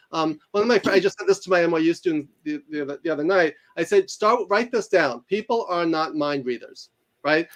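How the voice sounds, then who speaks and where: A man speaks with a New York accent and a high pitch. His pace is fairly quick. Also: ordinary pitch variation. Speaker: professor and author. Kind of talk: interview conversation. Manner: fast.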